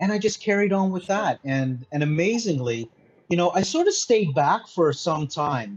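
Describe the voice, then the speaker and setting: With lively intonation and a somewhat breathy sound, a man talks at a moderate pace. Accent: Canadian. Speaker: mindset consultant. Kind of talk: interview. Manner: halting, many fillers.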